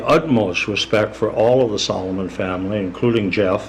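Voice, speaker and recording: The voice shows ordinary pitch variation, heard over noticeable background noise. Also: man. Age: 70s. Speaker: retired teacher and coach. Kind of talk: public comment at council meeting. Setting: city council meeting.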